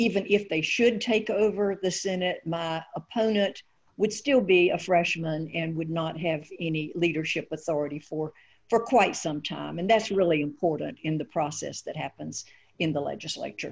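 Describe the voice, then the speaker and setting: An ordinary speaking voice moves at a moderate pace over a quiet background. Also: woman, fairly low pitch for a woman, ordinary pitch variation. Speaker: candidate. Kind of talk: interview answer. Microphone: video call.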